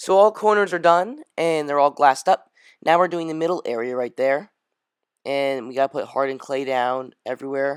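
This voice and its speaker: Mumbled speech on a very clean recording with a silent background. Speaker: gaming youtuber. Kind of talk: tutorial. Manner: mumbling; casual, rambling.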